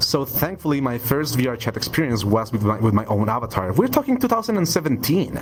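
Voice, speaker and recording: A man with a Spanish accent talks at a very fast pace, with hardly any pauses and lively intonation at a medium pitch. Music plays in the background. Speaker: 3D avatar artist. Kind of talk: podcast interview. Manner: halting, repeats words.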